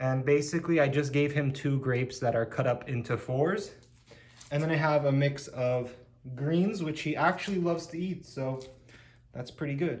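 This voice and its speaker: His voice is somewhat breathy. The man speaks at a fairly high pitch that varies in an ordinary way. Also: moderate pace. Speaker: pet-keeping YouTuber. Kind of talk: tutorial. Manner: casual.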